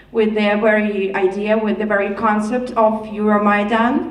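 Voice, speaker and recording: Over noticeable background noise and audible room echo, a woman with a fairly high pitch speaks at a moderate pace in a monotone, flat intonation. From Ukraine. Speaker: audience member asking a question. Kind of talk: audience question.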